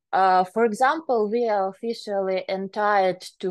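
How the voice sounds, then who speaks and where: Over a quiet background, a woman with a Ukrainian accent speaks at medium pitch and a fairly slow pace with fairly even intonation. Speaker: private enforcement officer. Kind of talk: conference talk. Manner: halting, many filler sounds.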